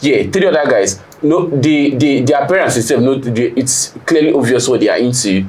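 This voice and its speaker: Amid noticeable background noise and audible room echo, a man talks at a moderate pace with hardly any pauses, fairly high pitch, ordinary pitch variation and very even loudness. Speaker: panel guest. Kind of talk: casual debate. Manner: animated.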